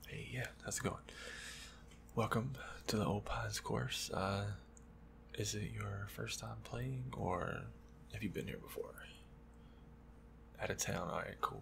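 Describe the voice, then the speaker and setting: A man's very deep, low voice with very wide pitch swings, a fairly slow pace, long, frequent pauses and noticeable background noise. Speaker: golf course employee. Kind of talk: ASMR role play, soft-spoken pro shop talk. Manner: soft-spoken.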